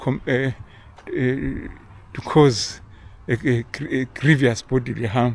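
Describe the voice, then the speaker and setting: A somewhat breathy male voice at medium pitch, with a fairly slow pace and fairly even intonation. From Zimbabwe. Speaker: vlogger. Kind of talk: casual monologue. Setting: outdoors, walking. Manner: halting, many repeated words and fillers.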